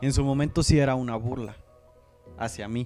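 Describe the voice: Music plays in the background as a man speaks fairly quickly at a medium pitch with fairly even intonation.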